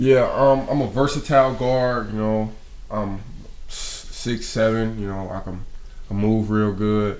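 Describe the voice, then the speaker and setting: With an American accent, the speaker talks at a fairly slow pace with fairly even intonation and big swings in loudness, with audible room echo. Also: man, medium pitch for a man. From Peoria, Illinois, US. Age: young. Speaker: college basketball player. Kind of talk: interview.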